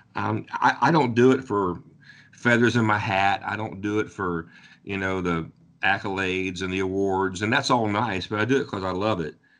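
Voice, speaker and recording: A man with an American accent uses an ordinary speaking voice, fairly low in pitch, with ordinary pitch variation at a moderate pace against a quiet background. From southwestern Ohio. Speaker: country singer-songwriter. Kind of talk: interview.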